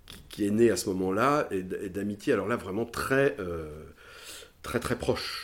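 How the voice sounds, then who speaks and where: A man speaks over a very clean recording with a silent background. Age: 60s. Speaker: former fashion house director. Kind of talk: interview. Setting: at home. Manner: halting.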